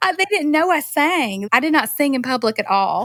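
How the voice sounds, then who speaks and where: The speaker has a North Carolina accent and very wide pitch swings. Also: woman. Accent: North Carolina Southern. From North Carolina, US South. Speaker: singer-songwriter. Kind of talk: casual interview chat. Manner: animated.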